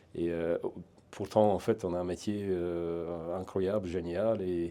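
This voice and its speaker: In a quiet background, a man speaks very slowly in a very deep, low, flat monotone. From eastern Hungary. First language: Hungarian (speaking French). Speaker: private security trainer, ex-legionnaire. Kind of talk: interview. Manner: hesitant, many fillers and repetitions.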